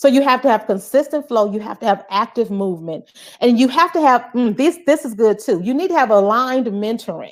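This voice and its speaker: Loud and animated, a woman speaks with a high-pitched voice. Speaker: soul care coach and motivational speaker. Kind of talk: live-stream motivational talk.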